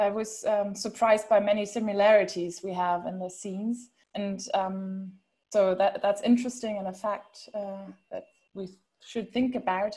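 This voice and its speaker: A woman speaks at a moderate pace in a monotone, flat intonation. Her somewhat breathy voice has a dark, mellow tone over a quiet background. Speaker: panel moderator. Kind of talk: online panel discussion. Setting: video call.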